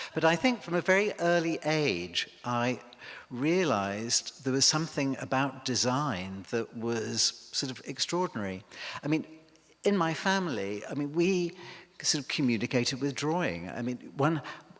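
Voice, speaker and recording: A man with an English accent and a fairly high pitch, with very wide pitch swings. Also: moderate pace. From northern England, Cheshire near Liverpool. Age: 60s. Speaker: milliner. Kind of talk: public lecture. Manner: hesitant, many fillers.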